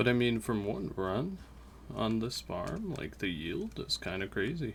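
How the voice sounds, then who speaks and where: Quietly, a man speaks at a fairly slow pace. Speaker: gaming YouTuber. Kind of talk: let's play commentary.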